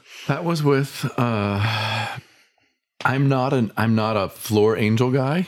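This man has an American accent and a medium pitch. He speaks very slowly, and his loudness stays very even. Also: ordinary pitch variation. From US Midwest. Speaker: painter. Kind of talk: casual chat.

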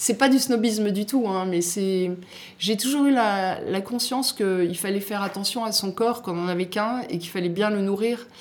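A woman at a moderate pace, an ordinary speaking voice, medium in pitch with ordinary pitch variation. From southern France, Côte d'Azur. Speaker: magazine editor-in-chief and chef. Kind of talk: interview.

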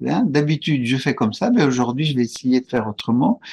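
The sound is close and dry, without echo. Intonation moves in a lively way. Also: man. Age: 70s. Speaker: couples retreat facilitator. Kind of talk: interview. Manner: halting.

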